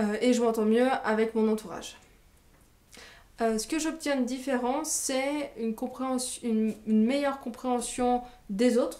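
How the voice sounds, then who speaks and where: With a dark, mellow tone, a woman speaks in a fairly high voice with ordinary pitch variation. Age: 20s. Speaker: training graduate and business coach. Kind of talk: testimony. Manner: hesitant, many filler sounds.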